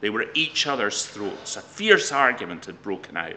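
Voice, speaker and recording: Moderately paced talk from a man, with noticeable noise behind it. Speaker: professional storyteller. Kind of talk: storytelling, folk tale told to camera with a short intro.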